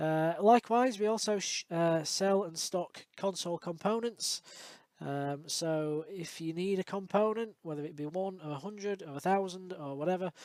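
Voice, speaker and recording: A man's high-pitched voice with a Yorkshire accent, ordinary pitch variation and a moderate pace. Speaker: electronics repair technician. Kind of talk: tutorial outro, direct to camera. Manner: casual, many fillers.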